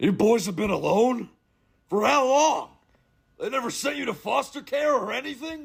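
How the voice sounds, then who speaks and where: A man speaks in a cartoonish character voice with an extremely high pitch and lively intonation. His pace is moderate, broken by long, frequent pauses. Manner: talks about himself in third person.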